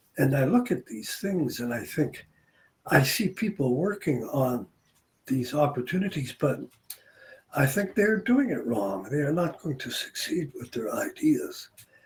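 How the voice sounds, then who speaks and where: Somewhat breathy, a man with a fairly high pitch speaks fairly slowly, his pitch swinging very widely. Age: 70s. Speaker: retired businessman and English tutor. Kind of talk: casual chat. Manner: conversational with hesitations.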